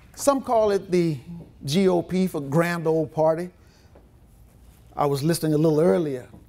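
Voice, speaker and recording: With long, frequent pauses and a moderate pace, a man with a high pitch speaks in a dark, mellow tone and lively intonation. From Louisiana Cajun country, Opelousas. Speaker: politician. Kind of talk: political speech.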